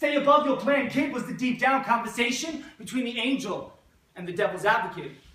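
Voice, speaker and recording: A man speaks in a raised, projected voice at an extremely high pitch with ordinary pitch variation. His pace is fairly quick, and there is noticeable background noise. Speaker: poet, teacher. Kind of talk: spoken word poetry performance.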